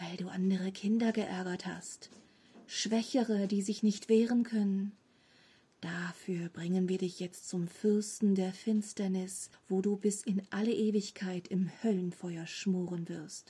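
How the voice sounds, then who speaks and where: A woman's quiet, hissing, put-on character voice at medium pitch, menacing in tone and fairly slow in pace. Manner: quiet, menacing, hissing.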